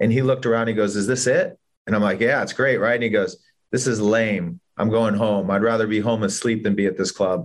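In an American accent, a man with an ordinary speaking voice talks at a medium pitch and a fairly quick pace, his intonation fairly even and his loudness very even. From Los Angeles, US. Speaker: entrepreneur and music executive. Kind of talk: interview storytelling.

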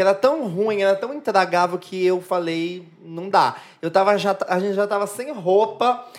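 A woman's unremarkable speaking voice, medium in pitch with ordinary pitch variation, at a fairly slow pace. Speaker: drag queen. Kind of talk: casual chat.

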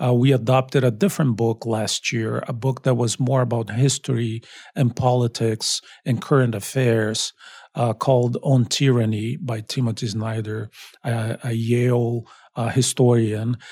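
Speaking in a Portuguese accent at a moderate pace, a man has a medium pitch, a dark, mellow, somewhat breathy tone and fairly even intonation on a very clean recording with a silent background. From Brazil. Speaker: college dean and professor. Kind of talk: interview.

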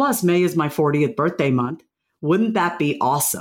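A woman with a New York accent, fairly low in pitch, at a moderate pace with very wide pitch swings. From New York, Long Island. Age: 40s. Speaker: author and confidence speaker. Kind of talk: interview conversation. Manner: animated.

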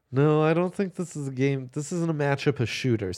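Recorded very cleanly against a silent background, a man with a fairly high pitch speaks at a moderate pace. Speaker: sports betting podcast host. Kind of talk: casual chat. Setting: live from a bar. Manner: loud; animated.

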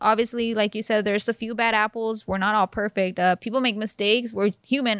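In a very clean recording with a silent background and a dry, close sound with no echo, a woman with an unremarkable speaking voice talks at a fairly quick pace, her fairly high pitch held in fairly even intonation. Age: 20s. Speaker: police officer. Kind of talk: casual chat.

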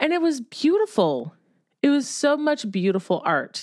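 On a very clean recording with a silent background, a woman with an American accent speaks at a moderate pace in an unremarkable speaking voice. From Ohio. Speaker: podcast co-host and writer. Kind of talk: casual chat.

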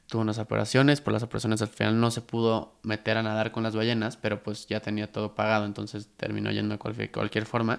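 A man in a Mexican accent, monotone and flat in intonation, at a fairly quick pace. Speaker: podcast host. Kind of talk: casual chat.

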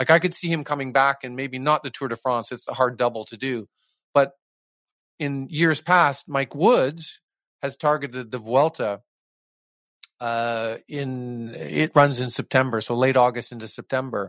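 Big swings in loudness mark this man's medium-pitched voice. The recording is dry and close, with no echo. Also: ordinary pitch variation, moderate pace. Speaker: race announcer. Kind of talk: casual interview chat. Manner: animated, enthusiastic; fluent, hesitant with fillers.

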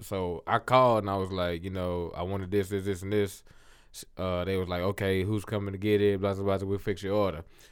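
A plain, everyday voice from a man, fairly low in pitch, with fairly even intonation and a fairly quick pace on a very clean recording with a silent background. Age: 20s. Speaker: podcast guest. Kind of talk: casual chat.

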